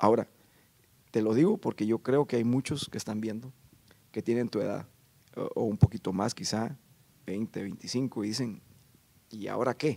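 Long, frequent pauses break up a man's dark, mellow voice. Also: ordinary pitch variation, moderate pace. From Guatemala. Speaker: podcast guest. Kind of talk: interview. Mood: calm, earnest. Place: stage. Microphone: handheld.

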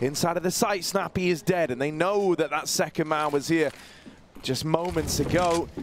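A man talks at a moderate pace in a high voice, animated and excited. Noticeable background noise is present. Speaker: esports caster. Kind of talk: live esports commentary. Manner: animated, excited play-by-play; conversational analysis between rounds.

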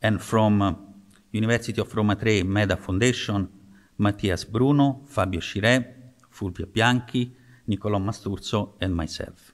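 Against a quiet background, a man with an ordinary speaking voice talks at a moderate pace in a fairly low pitch with fairly even intonation. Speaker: presenter. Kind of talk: conference talk. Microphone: podium.

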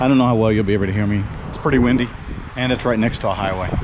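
A man at a very fast pace with fairly even intonation, dry sound without echo, and noticeable background noise. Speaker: travel vlogger. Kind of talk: casual vlog chat. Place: open country. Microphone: phone near.

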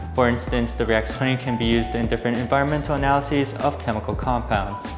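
Clear music plays behind a man. He speaks at a very fast pace. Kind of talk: product presentation. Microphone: lapel.

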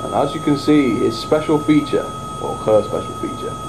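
Noticeable background noise can be heard. Over it, a man talks at a moderate pace. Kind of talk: casual hobby video narration. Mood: playful, amused. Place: home room. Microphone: camera far.

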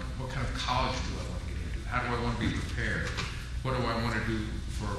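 A man talks at a fairly quick pace. The room echoes strongly, and there is noticeable background noise. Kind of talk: welcome speech. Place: hall. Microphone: podium.

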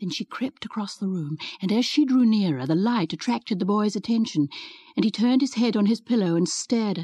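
A natural reading voice is heard.

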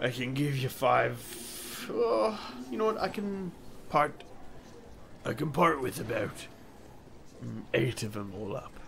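Someone uses a put-on character voice at a fairly slow pace, with long, frequent pauses. Clear background noise runs underneath. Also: man, medium pitch for a man. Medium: actual play. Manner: chummy, easygoing, excitable.

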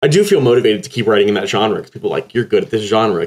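The speaker is a man with an American accent. The background is quiet. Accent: slight Texas accent when very tired. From Texas. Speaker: poet. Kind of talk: interview. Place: home room. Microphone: earbuds.

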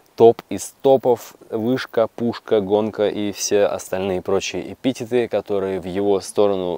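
A man talks at a fairly slow pace in a fairly low pitch with a dark, mellow tone. The sound is dry with no echo. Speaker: electric unicycle rider reviewer. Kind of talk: casual review talk. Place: forest. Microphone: lapel.

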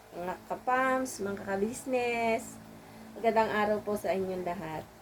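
A woman is speaking. Her intonation is lively. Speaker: vlogger and small shop owner. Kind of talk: casual vlog narration. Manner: halting; polite.

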